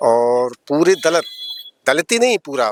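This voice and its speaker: A man speaks in a fairly high voice with lively intonation, recorded dry and close with no echo. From Aligarh, western Uttar Pradesh, India. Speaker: regional party official. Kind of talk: street interview.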